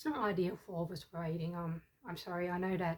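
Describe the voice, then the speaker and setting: The voice belongs to a woman with a fairly low pitch. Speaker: book competition judge and writer. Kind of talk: casual talk to camera. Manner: rambling, hesitant.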